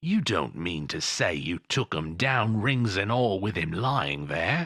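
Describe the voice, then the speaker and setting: A man growls in a put-on character voice, fairly low in pitch. He speaks fairly slowly with very wide pitch swings. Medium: read story. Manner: sly, haggling.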